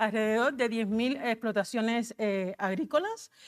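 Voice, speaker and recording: With a Cuban accent, a woman speaks at a fairly high pitch with ordinary pitch variation. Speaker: agricultural advisory coordinator. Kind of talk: conference presentation. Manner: fast.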